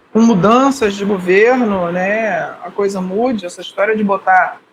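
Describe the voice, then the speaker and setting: Noticeable background noise accompanies a man whose voice is high in pitch. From Rio de Janeiro, Brazil. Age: 60s. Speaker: podcast co-host, mountaineer. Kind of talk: casual chat.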